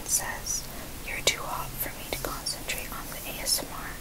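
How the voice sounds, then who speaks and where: Whispering at a moderate pace, a woman is heard. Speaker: ASMR creator. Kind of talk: reading and reacting to mean comments aloud. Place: home room. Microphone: earbuds.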